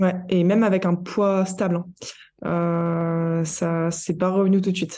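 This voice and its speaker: A woman speaks at a very slow pace, her fairly low pitch held in monotone, flat intonation. Her loudness stays very even, with a dark, mellow tone. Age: 20s. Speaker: nutritionist and endurance athlete. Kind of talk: interview.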